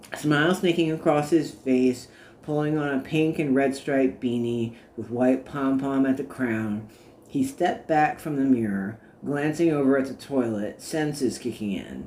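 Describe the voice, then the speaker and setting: Moderate pace, ordinary pitch variation and medium pitch in a man's plain, everyday voice. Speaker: author reading own work. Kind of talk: audiobook narration.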